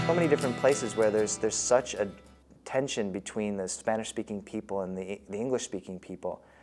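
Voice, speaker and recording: With music in the background, a man with an American accent talks at a very fast pace, his pitch fairly low and its variation ordinary. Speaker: storyteller. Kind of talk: interview answer.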